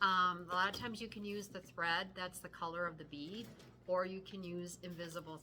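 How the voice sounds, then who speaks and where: Amid audible room echo, a woman with a fairly low pitch speaks in a bright, sharp tone with monotone, flat intonation. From Wisconsin, US Midwest. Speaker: cross-stitch video co-host. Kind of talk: casual chat.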